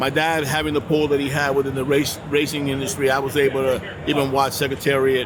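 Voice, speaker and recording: Through audible room echo and noticeable background noise, a man with a fairly high pitch speaks at a fairly quick pace in a monotone, flat intonation. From Puerto Rico and mainland US. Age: 60s. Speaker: welding instructor. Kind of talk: interview. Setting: trade show booth. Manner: halting.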